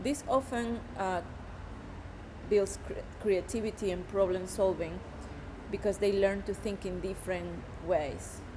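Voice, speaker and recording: With a Spanish accent, a woman speaks at a fairly slow pace and fairly even intonation. She pauses often and at length. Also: medium pitch for a woman. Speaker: education student. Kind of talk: class assignment presentation.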